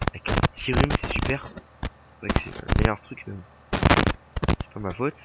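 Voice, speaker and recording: A man's very slow pace, with long, frequent pauses and big swings in loudness. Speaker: gaming YouTuber. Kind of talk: casual gameplay commentary. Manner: casual, hesitant with many fillers.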